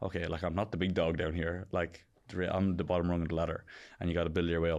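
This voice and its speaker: Against a quiet background, a man with an Irish accent speaks at a very fast pace in a very deep, low voice with monotone, flat intonation. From County Kilkenny, Ireland. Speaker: professional Australian rules football player. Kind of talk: podcast interview answer. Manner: casual.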